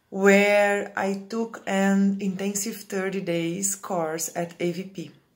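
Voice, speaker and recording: In a Brazilian Portuguese accent, a woman speaks at a very slow pace with monotone, flat intonation and hardly any pauses. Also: medium pitch for a woman. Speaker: Ayurvedic practitioner. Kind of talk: reading aloud. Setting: pre-recorded video.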